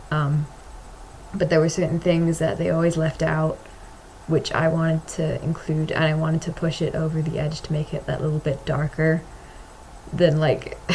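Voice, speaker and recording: Someone with an American accent speaks at a moderate pace in a monotone, flat intonation, leaving long, frequent pauses. Noticeable background noise runs underneath. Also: woman, very deep, low pitch for a woman. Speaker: vlogger and comic artist. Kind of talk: casual vlog monologue. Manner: halting, hesitant with many fillers.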